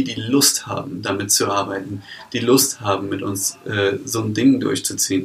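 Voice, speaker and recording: A man with an ordinary speaking voice, a moderate pace and ordinary pitch variation. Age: 20s. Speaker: startup founder. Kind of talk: interview.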